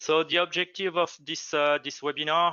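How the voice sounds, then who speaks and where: With a French accent, a man speaks using fairly even intonation. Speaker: product manager, webinar host. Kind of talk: webinar introduction. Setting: online webinar. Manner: halting, many hesitations.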